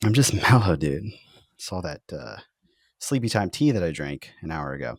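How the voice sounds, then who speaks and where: With a very deep, low pitch and vocal fry, a man speaks at a moderate pace, his pitch swinging very widely and his loudness swinging a lot, in a dry, close sound with no echo. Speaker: golf podcast host. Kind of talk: casual chat. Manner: quiet; low energy. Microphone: new audio setup.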